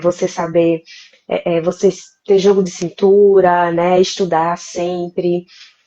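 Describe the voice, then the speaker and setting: Here a woman with a Recife accent talks at a fairly slow pace. Her fairly low pitch stays monotone and flat. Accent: Pernambuco (Recife). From Brazil, interior of Pernambuco. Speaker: lawyer. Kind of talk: live interview.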